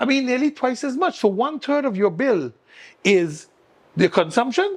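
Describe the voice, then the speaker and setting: Against a quiet background, a man in a Sint Maarten accent speaks at an extremely high pitch with very wide pitch swings. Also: moderate pace. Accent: Caribbean (Sint Maarten) English. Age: 60s. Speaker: political candidate. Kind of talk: talk show interview.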